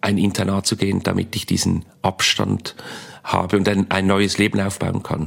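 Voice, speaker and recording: A man talks at a fairly slow pace in a fairly low pitch. Noticeable background noise runs beneath him. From Switzerland, Basel. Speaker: comedian. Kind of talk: interview.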